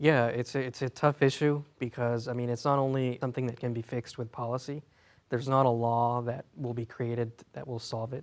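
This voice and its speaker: Against a quiet background, a man speaks at a fairly quick pace. His pitch is medium and his intonation monotone and flat. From Fresno, California (from Mexico at age 5). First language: Spanish. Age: 20s. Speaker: guest. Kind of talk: casual chat. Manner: halting.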